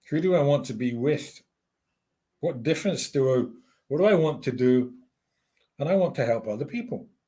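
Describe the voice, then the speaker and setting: A man's somewhat breathy, dark, mellow voice at a fairly high pitch, fairly quick with lively intonation and long, frequent pauses. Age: 60s. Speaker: life coach. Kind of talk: interview conversation.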